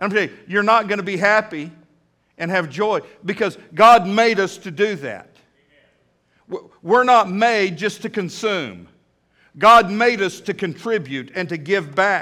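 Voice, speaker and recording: Speaking in a raised, projected voice, a man with a high pitch and a bright, sharp tone moves at a fairly slow pace with ordinary pitch variation, big swings in loudness, and long, frequent pauses. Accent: Texan. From Texas. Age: 50s. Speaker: pastor. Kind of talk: sermon. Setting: church. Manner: animated.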